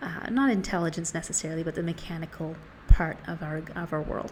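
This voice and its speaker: A woman's fairly low, somewhat breathy voice at a moderate pace, with ordinary pitch variation. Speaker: book reviewer. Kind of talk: casual talk to camera. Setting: outdoors.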